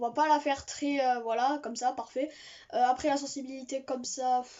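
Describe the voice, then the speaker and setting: A woman with a high voice speaks at a fairly slow pace with fairly even intonation. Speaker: gaming youtuber. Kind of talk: gameplay commentary. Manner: hesitant, many fillers.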